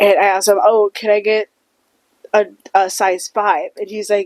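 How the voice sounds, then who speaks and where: A woman talks at a moderate pace in a fairly high voice with an animated tone. The sound is dry and close, with no echo. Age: 20s. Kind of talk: casual chat.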